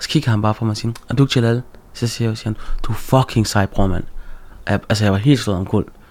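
With fairly even intonation, the words come out at a very fast pace. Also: man, fairly low pitch for a man. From Denmark, Aarhus (Gellerup). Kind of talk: casual interview chat.

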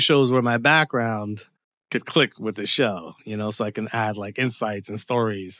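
Recorded very cleanly with a silent background and a dry, close sound with no echo, a man speaks at a moderate pace in a bright, sharp tone. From Canada, Windsor, Ontario. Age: 40s. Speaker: screenwriter. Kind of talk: interview conversation. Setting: his home.

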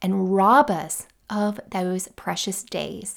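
The woman's voice has a warm tone. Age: 40s. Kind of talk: solo podcast monologue, tips and encouragement. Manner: warm, conversational.

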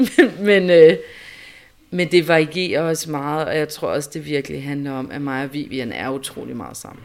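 A woman with a very deep, low pitch and ordinary pitch variation at a moderate pace, with big swings in loudness. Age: 30s. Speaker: mother. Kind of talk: interview testimony.

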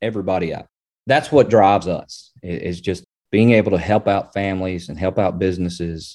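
Against a quiet background, a man with a Southern US accent talks at a fairly quick pace in a fairly low pitch, with a dark, mellow tone and ordinary pitch variation. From Arkansas, Springdale. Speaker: attorney. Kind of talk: interview.

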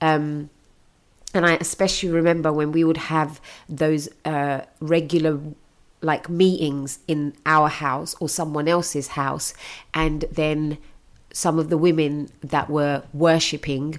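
In a British accent, a woman talks at a very slow pace with a very deep, low pitch and monotone, flat intonation, recorded very cleanly against a silent background. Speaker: podcast host. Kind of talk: interview chat.

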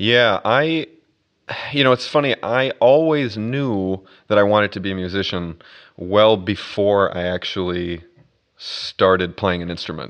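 A man with an American accent, fairly low in pitch, at a fairly slow pace with lively intonation, against a quiet background. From US Midwest, Minnesota. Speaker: orchestral double bass player. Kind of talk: casual interview conversation. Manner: hesitant, many fillers and repetitions.

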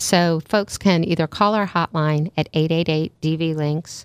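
Speaking at a moderate pace in an American accent, a woman has a very deep, low pitch and a monotone, flat intonation, captured in a very clean, dry, close recording with a silent background and no echo. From Maryland, US. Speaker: CEO of a family violence nonprofit. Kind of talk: radio interview.

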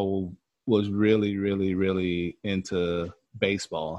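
This man has a fairly low pitch. He speaks at a very slow pace. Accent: American. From US South. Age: 30s. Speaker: podcast guest, movie fan. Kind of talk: casual chat.

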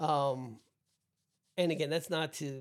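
With an American accent, a man talks at a fairly slow pace and fairly high pitch. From New Jersey. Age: 60s. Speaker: lung transplant survivor. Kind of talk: interview.

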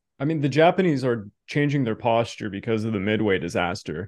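A man with a Canadian accent talks at a fairly quick pace. His pitch makes very wide swings. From Canada. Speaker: history podcast host. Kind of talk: interview.

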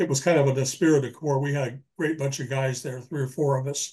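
In a monotone with flat intonation, a man with a fairly high pitch sounds somewhat breathy. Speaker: retired police detective and author. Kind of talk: interview.

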